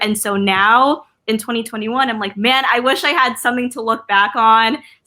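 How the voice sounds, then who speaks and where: A woman speaks with a West Coast accent. Her pitch varies in an ordinary way. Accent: American English, West Coast. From Philippines. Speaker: artist and influencer. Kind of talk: casual interview chat. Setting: video call livestream. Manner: casual, filler-heavy ('like', 'um').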